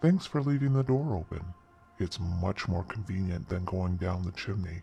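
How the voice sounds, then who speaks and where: A growling, put-on character voice from a man, very deep and low in pitch, at a moderate pace over faint background music. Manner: mocking, threatening.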